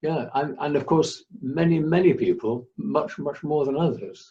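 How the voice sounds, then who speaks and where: A man with a southern English accent speaks at a fairly slow pace with a fairly high pitch. He leaves hardly any pauses. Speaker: interviewer. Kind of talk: interview.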